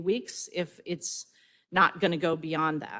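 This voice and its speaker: A woman speaks at a moderate pace with a fairly low pitch. The background is quiet. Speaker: state health agency director. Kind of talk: conference speech.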